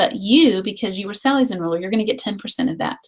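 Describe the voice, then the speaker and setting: A woman with a fairly high pitch speaks in a somewhat breathy voice with lively intonation. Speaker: essential oils distributor. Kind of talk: online webinar presentation. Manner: fast.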